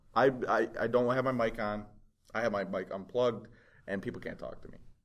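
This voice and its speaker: A man talks at a fairly quick pace in an animated tone, with big swings in loudness. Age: 20s. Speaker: podcast co-host. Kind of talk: casual chat.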